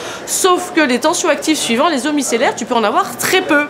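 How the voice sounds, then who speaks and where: A woman talking at a fairly quick pace with very wide pitch swings, with noticeable background noise. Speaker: skincare trainer and school founder. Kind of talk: educational explainer to beauty professionals. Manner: fast; casual, lively.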